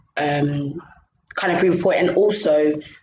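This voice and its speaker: The speaker has a London accent and talks at a fairly slow pace with fairly even intonation. Audible room echo surrounds the voice. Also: woman. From London, England. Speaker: podcaster. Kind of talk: casual chat.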